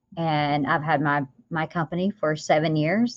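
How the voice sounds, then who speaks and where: A woman with a Southern US accent speaks at a very deep, low pitch, with a dry, close sound with no echo and a quiet background. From US South. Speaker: business owner and author. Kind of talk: podcast interview.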